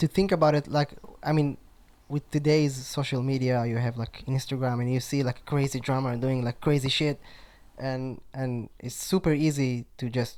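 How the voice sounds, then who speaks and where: Speaking with a strong Israeli accent, a man keeps a medium pitch and fairly even intonation. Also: moderate pace. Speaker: drummer. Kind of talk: casual interview chat. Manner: halting, many fillers.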